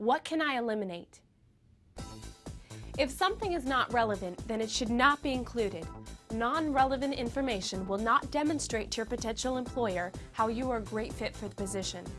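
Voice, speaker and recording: With music in the background, a woman talks at a fairly quick pace and fairly high pitch, her intonation lively. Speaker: infomercial host. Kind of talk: instructional infomercial narration.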